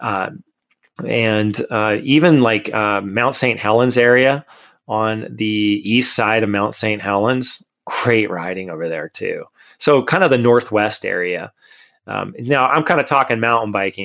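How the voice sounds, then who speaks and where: Speaking at a fairly slow pace with an American accent, a man has an ordinary speaking voice at a medium pitch, captured in a very clean recording with a silent background. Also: ordinary pitch variation. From Connecticut, US. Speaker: mountain bike tour company owner. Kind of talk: casual interview.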